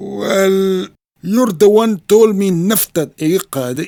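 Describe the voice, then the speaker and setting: Using a cartoonish character voice, a man speaks at a high pitch and a very slow pace. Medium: puppet show. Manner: deadpan, mischievous.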